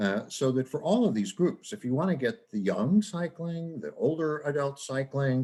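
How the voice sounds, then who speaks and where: At a moderate pace, a man with an American accent speaks with very wide pitch swings. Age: 70s. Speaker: professor. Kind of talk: lecture.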